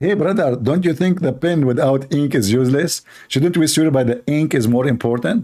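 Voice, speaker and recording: Speaking with an Arabic accent, a man uses a dark, mellow tone, lively intonation and very even loudness on a very clean recording with a silent background. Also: fairly high pitch for a man, moderate pace. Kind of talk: polemical livestream monologue. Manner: animated, mocking.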